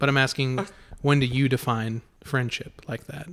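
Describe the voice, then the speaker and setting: A man's normal speaking voice in an American accent, medium in pitch, fairly even in intonation, at a moderate pace. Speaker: podcast host. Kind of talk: casual chat. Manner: joking, talkative.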